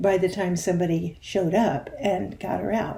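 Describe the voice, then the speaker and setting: With a dark, mellow tone, this woman sounds somewhat breathy. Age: 70s. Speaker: video series host. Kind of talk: personal storytelling. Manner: conversational.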